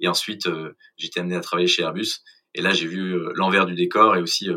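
A man with a very deep, low pitch and a bright, sharp tone speaks at a fairly quick pace. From Paris suburbs, France. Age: 30s. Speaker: startup co-founder. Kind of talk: interview.

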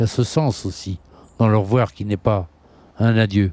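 The sound is dry and close, with no echo. A man speaks at a fairly low pitch. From western France, Nantes. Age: 70s. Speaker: folk musician. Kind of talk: interview. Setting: outdoor terrace by the river.

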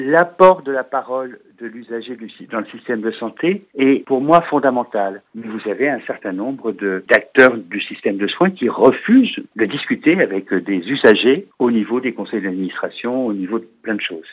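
With a normal speaking voice, a man at medium pitch speaks at a fairly slow pace with lively intonation. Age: 50s. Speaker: patient advocate and trainer. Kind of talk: interview.

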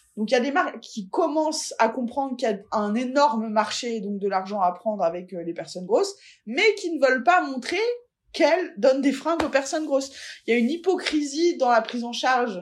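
Her pitch high and swinging very widely, a woman speaks at a fairly quick pace. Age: 40s. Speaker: fat-acceptance activist. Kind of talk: interview.

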